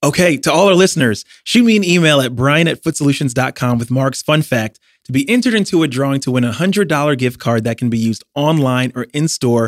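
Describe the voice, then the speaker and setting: A man with an unremarkable speaking voice, medium in pitch, with lively intonation at a fairly quick pace, on a very clean recording with a silent background. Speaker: podcast host. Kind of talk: interview, casual chat.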